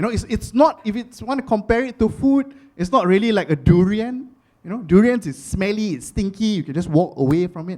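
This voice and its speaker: Using a Singaporean accent, a high-pitched man talks at a fairly quick pace with lively intonation and big swings in loudness. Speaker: stand-up comedian. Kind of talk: live stand-up comedy set.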